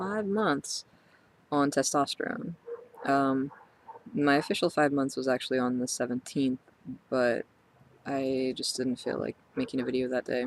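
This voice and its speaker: Long, frequent pauses from a man at a moderate pace, his pitch fairly high with ordinary variation, noticeable background noise behind him. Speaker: transgender vlogger. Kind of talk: personal video diary. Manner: halting, many fillers.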